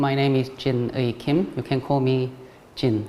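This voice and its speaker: Very slow speech from a man with a Korean accent, over noticeable background noise. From South Korea. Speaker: ceramic artist. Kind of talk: artist talk. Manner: halting, many fillers.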